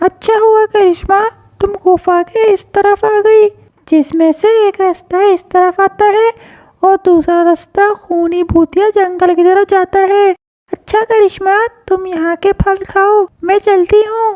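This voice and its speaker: A cartoonish character voice that sounds female comes out squeaky and extremely high-pitched. It moves at a fairly slow pace. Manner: gentle, polite.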